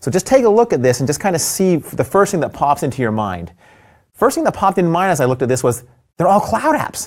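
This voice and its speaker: A man's high-pitched voice at a very fast pace, with very wide pitch swings, on a very clean recording with a silent background. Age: 50s. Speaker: tech executive. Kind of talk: casual chat with product demos. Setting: studio.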